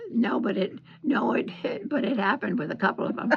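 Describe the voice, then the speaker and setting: With noticeable background noise behind her, a woman speaks at a moderate pace with lively intonation in an American accent. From Central Florida, US. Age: 80s+. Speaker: retired knitter. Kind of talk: interview answer, reminiscing. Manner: hesitant, rambling.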